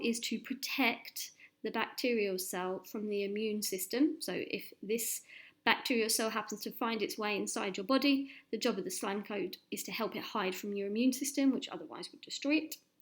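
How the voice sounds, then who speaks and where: A woman's fairly high voice with lively intonation and an English accent, on a very clean recording with a silent background. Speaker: science teacher. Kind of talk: lesson. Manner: fast.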